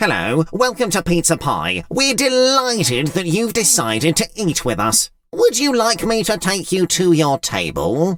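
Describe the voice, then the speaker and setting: A man speaks in a high, put-on character voice. He barely pauses at all. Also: moderate pace. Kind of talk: children's bedtime story reading. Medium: read story. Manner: polite, welcoming.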